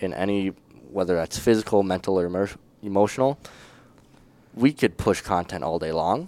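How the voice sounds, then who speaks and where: Speaking with an Upper Midwest accent, a man uses a very deep, low pitch at a moderate pace. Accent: Upper Midwest (Minnesota). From northern Minnesota. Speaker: student teacher. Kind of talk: casual interview.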